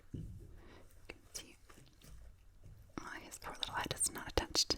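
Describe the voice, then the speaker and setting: A woman whispers at a moderate pace while noticeable background noise carries on. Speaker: puppet maker. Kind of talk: ASMR show and tell. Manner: whispered.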